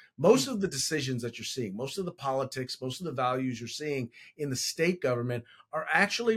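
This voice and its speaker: A man with a Californian accent, medium in pitch, with lively intonation. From California, San Francisco Bay Area. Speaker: congressional candidate and school board member. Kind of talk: interview.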